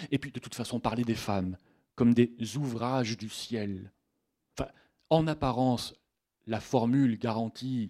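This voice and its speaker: Speaking at a fairly slow pace, a man with a medium-pitched voice talks with a southern French accent. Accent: southern French (Midi). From Haute-Provence, Sisteron. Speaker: literature lecturer. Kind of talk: lecture. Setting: bookshop stage with audience.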